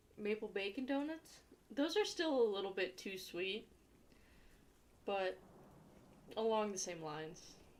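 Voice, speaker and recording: Long, frequent pauses break up a woman's fairly slow speech, delivered at medium pitch with lively intonation in an Ohio accent. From Ohio, US. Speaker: livestreamer. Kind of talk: casual chat.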